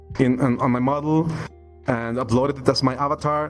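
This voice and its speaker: A man at medium pitch with a Spanish accent, moderate pace, and noticeable background noise. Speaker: 3D avatar artist. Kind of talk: podcast interview. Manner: halting, repeats words.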